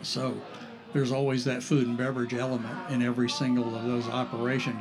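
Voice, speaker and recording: Through audible room echo and noticeable background noise, a man with an American accent talks very fast in a monotone, flat intonation. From northeast Florida, St. Augustine. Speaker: artist and restaurant owner. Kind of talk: casual interview. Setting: on location at a cafe.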